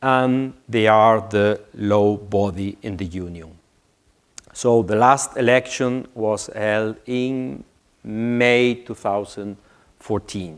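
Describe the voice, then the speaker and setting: A very slow pace with a strong non-native accent. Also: man, fairly low pitch for a man, ordinary pitch variation. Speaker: IT manager at a public institution. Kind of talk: conference presentation. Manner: halting, many fillers.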